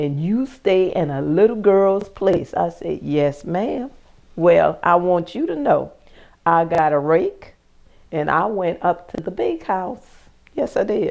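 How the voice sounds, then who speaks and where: The speaker talks at a fairly slow pace in a Lowcountry accent. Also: woman, fairly low pitch for a woman. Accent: Southern US, Lowcountry. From US South, South Carolina plantation. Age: 60s. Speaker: plantation descendant sharing memories. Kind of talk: interview storytelling. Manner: animated.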